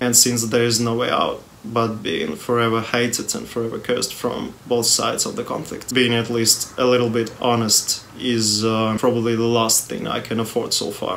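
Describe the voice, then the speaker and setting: A man speaks at a medium pitch with a non-native accent, his intonation monotone and flat. He hardly pauses at all, and there is noticeable background noise. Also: moderate pace. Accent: non-native English pronunciation. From Russia. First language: Russian. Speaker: music youtuber. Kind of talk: personal video statement.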